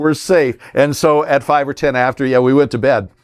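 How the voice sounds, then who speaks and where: A plain, everyday voice from a man with a medium pitch and an American accent. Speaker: veteran radio broadcaster. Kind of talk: interview answer, storytelling. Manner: conversational, professional radio voice.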